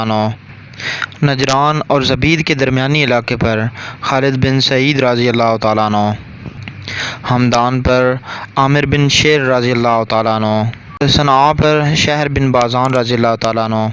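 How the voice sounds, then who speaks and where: Over noticeable background noise, a man speaks at a medium pitch with fairly even intonation and very even loudness. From Pakistan. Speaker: voice-over artist. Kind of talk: historical story narration.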